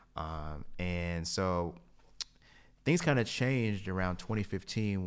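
A man with an American accent, a very deep, low pitch and fairly even intonation. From US South, Kingsport, Tennessee. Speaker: chemical engineer and transportation equity expert. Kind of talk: interview. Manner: frequent fillers (um, you know).

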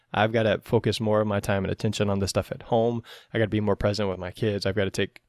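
The recording is very clean with a silent background, carrying a man's plain, everyday voice at a fairly low pitch. He talks at a fairly quick pace with fairly even intonation. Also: dry, close sound with no echo. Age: 40s. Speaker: athletic trainer and podcast host. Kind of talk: casual interview.

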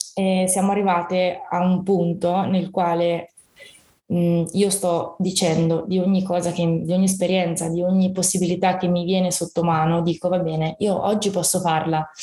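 A woman's voice at medium pitch and moderate pace, with very even loudness. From Italy, Fano (Marche). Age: 20s. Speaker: fibromyalgia patient sharing her story. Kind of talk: personal testimony in casual interview.

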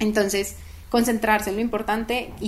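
Noticeable background noise runs under a woman's voice. She speaks at a moderate pace with a fairly high pitch. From Colombia, Manizales. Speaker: startup co-founder. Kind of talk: interview.

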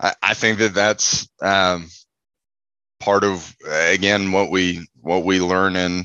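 A man with an American accent speaks very slowly in a very deep, low voice that is bright and sharp in tone, monotone and flat, recorded dry and close with no echo against a quiet background. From Texas, Houston. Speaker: site manager, former Marine officer. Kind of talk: interview.

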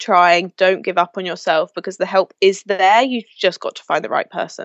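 A woman speaks in a London accent at a moderate pace. Her pitch is medium. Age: 20s. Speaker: mental health advocate. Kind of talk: interview. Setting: video call.

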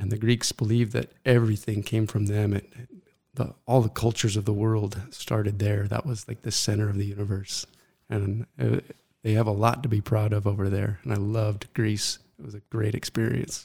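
Speaking at a moderate pace, a man with a fairly low, somewhat breathy voice keeps his intonation fairly even. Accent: American. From Arizona, US (Mesa). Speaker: writer. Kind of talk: interview.

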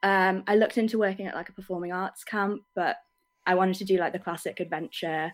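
A woman with an English accent speaks at a medium pitch and a fairly quick pace, her intonation fairly even. The recording is very clean, with a silent background. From England. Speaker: camp photographer. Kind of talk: casual interview. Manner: hesitant.

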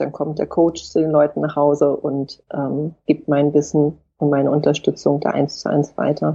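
Her voice is very deep and low, with monotone, flat intonation. The woman keeps a moderate pace with hardly any pauses. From Hamburg, northern Germany. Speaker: author. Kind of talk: interview.

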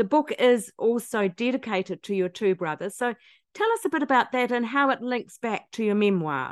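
Here is an unremarkable speaking voice from a woman, pitched fairly high. Her intonation is lively, and her pace is moderate. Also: dry, close sound with no echo. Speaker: podcast host. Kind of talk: interview.

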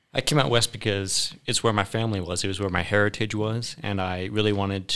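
A man with an American accent, a fairly low pitch, a bright, sharp tone, fairly even intonation and a fairly quick pace. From Maryland. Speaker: local worker guest. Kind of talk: casual chat. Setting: studio.

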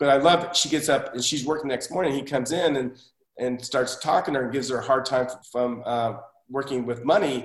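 A man talks in a normal speaking voice with an American accent. His medium pitch stays fairly even in intonation as he moves at a fairly quick pace. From Oklahoma, US (Tulsa). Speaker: TV director and assistant director. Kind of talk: podcast interview.

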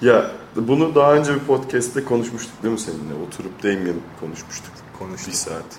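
Amid noticeable background noise and audible room echo, a man of medium pitch speaks at a fairly quick pace with big swings in loudness and very wide pitch swings. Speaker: podcast co-host. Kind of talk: casual chat.

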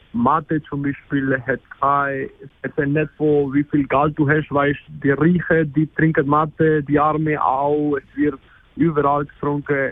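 Very slowly, a man speaks at a fairly high pitch with a flat, monotone delivery. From Argentina. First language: Spanish (speaking German). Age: 20s. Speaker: exchange student. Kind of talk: interview. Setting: phone call. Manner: halting, many fillers.

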